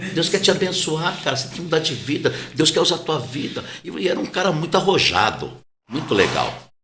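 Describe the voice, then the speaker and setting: With vocal fry and a bright, sharp tone, a man speaks at a moderate pace amid audible room echo. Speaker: pastor. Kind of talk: casual interview conversation. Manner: soft-spoken, quiet.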